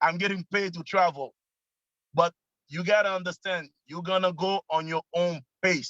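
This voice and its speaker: A man's high voice in a Quebec accent, with a bright, sharp tone and a dry, close sound with no echo. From Quebec, Canada. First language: French. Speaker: network marketing member. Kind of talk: casual testimony on video call. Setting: video call, parked in car. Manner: animated.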